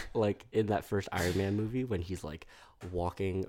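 An American-accented man with a very deep, low pitch, a dark, mellow tone and fairly even intonation, on a very clean recording with a silent background. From New York City. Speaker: school counselor and therapist. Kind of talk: casual chat. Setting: studio.

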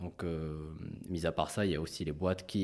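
The man's voice is very deep and low, his intonation mostly level, captured very cleanly against total silence. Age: 30s. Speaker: fund manager. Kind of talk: interview. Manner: halting, many repetitions.

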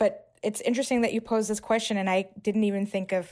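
In an unremarkable speaking voice, a woman talks at a fairly quick pace with fairly even intonation on a very clean recording with a silent background. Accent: American. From New York City. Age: 30s. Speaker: housing policy director and city planner. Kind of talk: interview.

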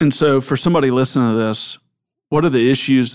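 On a very clean recording with a silent background, a man with a Southern US accent talks fairly quickly with fairly even intonation. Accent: US South. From Memphis, Tennessee. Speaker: podcast host. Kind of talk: interview.

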